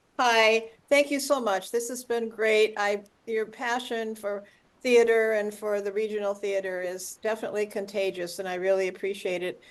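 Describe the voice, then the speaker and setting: An ordinary speaking voice with an American accent moves at a moderate pace with fairly even intonation against a quiet background. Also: woman, fairly high pitch for a woman. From US Midwest. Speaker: community member at online talk. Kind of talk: audience comment in video call. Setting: video call.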